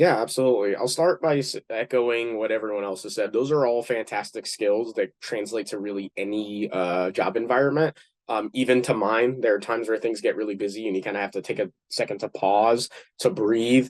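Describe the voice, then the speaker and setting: The sound is dry and close with no echo as a man talks at a fairly quick pace, his medium pitch moving with ordinary variation. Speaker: community pharmacist. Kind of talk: panel discussion. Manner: fast.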